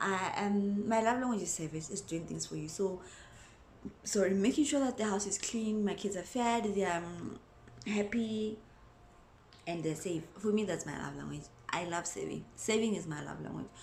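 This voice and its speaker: A woman speaks at a medium pitch with ordinary pitch variation. Her voice is somewhat breathy, and audible room echo surrounds it. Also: moderate pace. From South Africa. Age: 20s. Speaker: mom vlogger. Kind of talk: casual vlog talk to camera.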